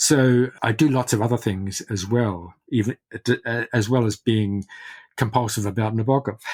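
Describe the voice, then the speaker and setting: With a New Zealand accent, the speech comes at a moderate pace with fairly even intonation. The sound is dry and close with no echo, very clean against a silent background. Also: man, medium pitch for a man. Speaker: literary scholar and biographer. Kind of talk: interview. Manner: halting, many repetitions.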